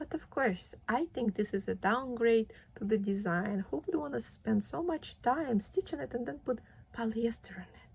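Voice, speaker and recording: A woman with a fairly high pitch and vocal fry talks at a moderate pace with very wide pitch swings. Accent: non-native. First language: not English. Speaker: cross stitch vlogger. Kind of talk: casual vlog, unboxing and craft talk. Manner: casual, with frequent fillers.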